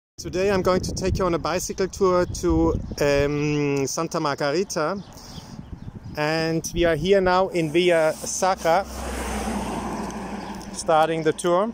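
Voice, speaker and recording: Against noticeable background noise, a man speaks at a fairly slow pace with long, frequent pauses and fairly even intonation, in a dry sound with no echo. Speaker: cyclist vlogger. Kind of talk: casual vlog chat. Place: bicycle. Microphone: phone near.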